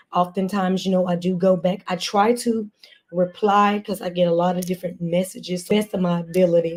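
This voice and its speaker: At a moderate pace, a woman speaks at a medium pitch with a dark, mellow tone, somewhat breathy and in a monotone, flat intonation. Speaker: motivational speaker. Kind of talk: encouraging talk.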